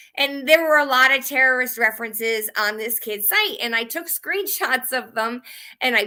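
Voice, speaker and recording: A woman's high, bright, sharp voice in an American accent, with ordinary pitch variation. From Connecticut. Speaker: citizen journalist. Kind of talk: casual monologue. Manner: fast.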